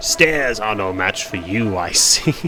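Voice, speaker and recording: Against loud background noise, a man uses a put-on character voice, fairly low in pitch and delivered at a fairly slow pace. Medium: game stream. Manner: gruff, condescending.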